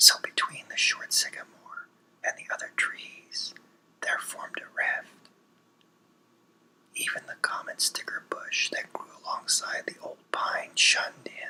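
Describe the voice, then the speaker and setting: Whispering at a fairly slow pace with long, frequent pauses, a man is heard over noticeable background noise. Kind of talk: ASMR story reading. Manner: whispered.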